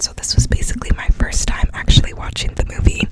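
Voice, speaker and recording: Noticeable background noise surrounds a woman who whispers. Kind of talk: casual talk to camera, ASMR chat about movies. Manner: whispered.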